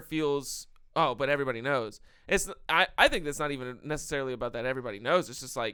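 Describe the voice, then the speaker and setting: Quick-paced and fairly high-pitched, a man speaks in a bright, sharp tone in a very clean recording with a silent background. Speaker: podcast co-host. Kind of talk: casual chat. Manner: loud.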